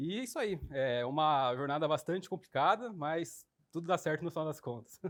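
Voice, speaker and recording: Talking at a moderate pace, a man uses lively intonation in a fairly high voice. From Brazil, São Paulo countryside (Sumaré). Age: 20s. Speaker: investor relations coordinator. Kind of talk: interview.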